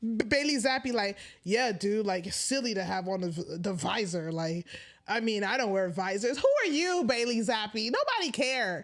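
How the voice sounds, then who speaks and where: Over noticeable background noise, a woman speaks at a moderate pace with a fairly high pitch. Her intonation is lively and her tone animated and excited. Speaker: sports commentary livestreamer. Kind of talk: casual livestream chat. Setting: livestream at home. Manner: animated, excited.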